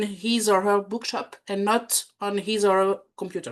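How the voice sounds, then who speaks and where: In a French accent, a woman speaks at a very slow pace with a fairly high pitch and monotone, flat intonation, over a quiet background. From France. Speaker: bookselling trainer and lecturer. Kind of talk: talk to small group. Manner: hesitant.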